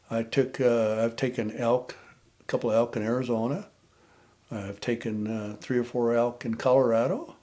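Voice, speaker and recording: This man has an American accent and a dark, mellow tone, speaking at medium pitch and a moderate pace. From Nevada. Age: 70s. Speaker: war veteran and bowhunter. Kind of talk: casual chat.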